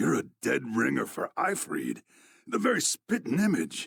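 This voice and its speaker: Using a raspy, put-on character voice, a man speaks at a moderate pace with very even loudness in a dry, close sound with no echo. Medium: video game. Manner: gruff, plain-spoken, folksy.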